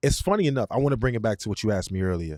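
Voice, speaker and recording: A man speaks at a fairly low pitch in a dry, close sound with no echo, recorded very cleanly against a silent background. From Brooklyn, New York (East New York). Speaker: musician and producer. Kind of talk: casual chat. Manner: animated.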